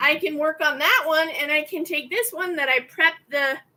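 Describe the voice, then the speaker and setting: A woman speaks in a raised, projected voice with a bright, sharp tone. Her pitch is high. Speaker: craft channel owner, embroidery maker. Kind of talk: casual craft vlog chat while working. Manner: halting, stumbling over words.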